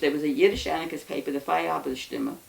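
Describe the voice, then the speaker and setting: A woman with an American accent talks at a very fast pace against noticeable background noise. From New York City. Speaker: anarchist interviewee. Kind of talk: oral history interview. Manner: halting.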